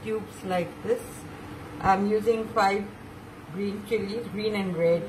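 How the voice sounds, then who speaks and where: A woman at a very slow pace, her intonation monotone and flat, over noticeable background noise. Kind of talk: tutorial. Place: kitchen. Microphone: phone near.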